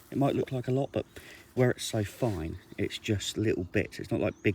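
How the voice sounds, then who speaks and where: A man talks quietly at a fairly quick pace, his voice somewhat breathy with a dark, mellow tone. His pitch variation is ordinary, and the sound is dry and close with no echo. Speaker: angling vlogger. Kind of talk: vlog. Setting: outdoors by a lake. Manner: casual.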